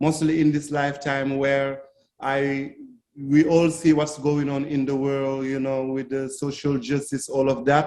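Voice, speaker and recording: This man speaks at a fairly slow pace. His pitch is fairly high. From Senegal. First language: not English (Senegalese, Fulani/French). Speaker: reggae singer. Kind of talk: interview. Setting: video call. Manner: halting, many fillers.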